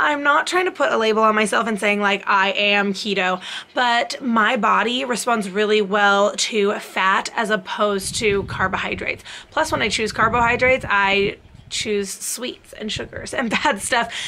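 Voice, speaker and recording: Light background noise sits behind a woman talking at a moderate pace with ordinary pitch variation. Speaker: fitness vlogger. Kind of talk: casual vlog chat. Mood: friendly, occasional laughs. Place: home room. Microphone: phone near.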